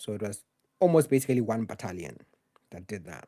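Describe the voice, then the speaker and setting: A man's dark, mellow tone with a Zimbabwean accent. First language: Shona. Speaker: journalist. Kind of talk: live Q&A stream. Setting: live stream, solo home setup. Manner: casual.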